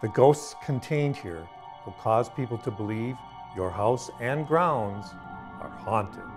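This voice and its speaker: Music plays behind a man whose medium-pitched voice moves at a very slow pace, his intonation lively and his loudness swinging widely. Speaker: voice actor. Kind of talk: product commercial narration.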